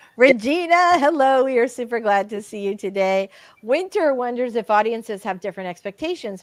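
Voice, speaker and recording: At a moderate pace, a woman speaks in a normal speaking voice, the sound dry and close with no echo. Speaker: romance author and livestream host. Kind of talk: casual chat on a livestream.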